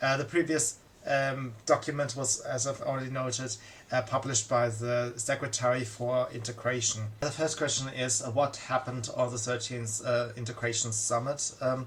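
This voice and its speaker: A man with a non-native accent speaks in a monotone, flat intonation. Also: medium pitch for a man, moderate pace. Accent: foreign accent, migrant to Germany. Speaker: political commentator. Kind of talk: monologue commentary. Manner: halting, many fillers.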